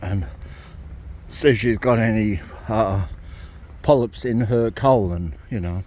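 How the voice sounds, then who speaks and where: A man talks with an Australian accent. His pitch is fairly low, with ordinary variation. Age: 60s. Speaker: ex-Jehovah's Witness vlogger. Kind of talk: casual vlog monologue. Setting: outdoors, walking in a cemetery. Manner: rambling, repetitive with many fillers.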